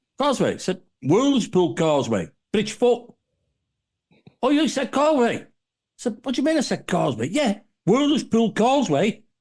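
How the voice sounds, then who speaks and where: In a northwest English accent, a man with an extremely high pitch speaks at a moderate pace in an animated tone. He takes long, frequent pauses. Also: lively intonation. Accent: Warrington. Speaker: podcast panelist. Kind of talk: casual chat.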